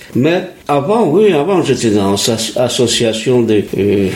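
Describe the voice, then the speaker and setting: Speaking very slowly, a man with a medium-pitched voice has a slight non-native accent. There is audible room echo and noticeable background noise. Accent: slight foreign. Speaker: retired printer, resident interviewee. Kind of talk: interview.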